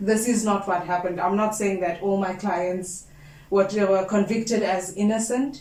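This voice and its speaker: A woman speaks at a moderate pace and medium pitch, with fairly even intonation. There is noticeable background noise and audible room echo. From South Africa, Cape Flats. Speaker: candidate attorney. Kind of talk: interview.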